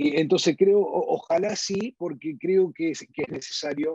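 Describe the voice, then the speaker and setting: In a normal speaking voice, a man talks at a moderate pace with lively intonation and a dry, close sound with no echo. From US, northern New Jersey, Uruguayan parents. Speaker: insurance company CEO. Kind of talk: interview conversation.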